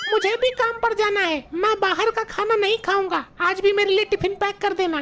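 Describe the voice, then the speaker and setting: A cartoonish character voice at an extremely high pitch moves at a moderate pace over clear background noise. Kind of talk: comic overacting.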